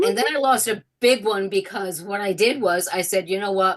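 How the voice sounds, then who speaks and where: At a fairly slow pace, a woman speaks in a bright, sharp tone at medium pitch with ordinary pitch variation. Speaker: trading program member. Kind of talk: casual chat. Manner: strained, barely able to talk.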